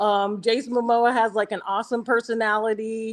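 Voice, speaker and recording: Here a woman has an unremarkable speaking voice, pitched fairly high. The background is quiet. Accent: American. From US Midwest, Nebraska. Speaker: dating show guest. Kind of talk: casual chat.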